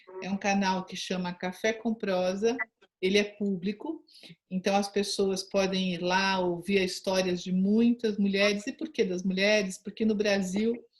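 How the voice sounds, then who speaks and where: Speaking at a fairly slow pace, a woman has a medium-pitched, somewhat breathy voice. Her intonation stays fairly even. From São Paulo, Brazil. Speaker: interviewer, rural tourism channel host. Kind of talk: interview introduction.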